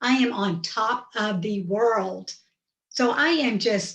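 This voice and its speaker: Her voice somewhat breathy and fairly high, a woman speaks at a very slow pace with lively intonation. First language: Hindi. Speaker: storyteller. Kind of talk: personal storytelling.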